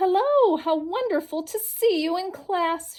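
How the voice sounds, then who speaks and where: A squeaky put-on character voice from a woman, extremely high in pitch at a fairly slow pace. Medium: read story. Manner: chirpy, enthusiastic.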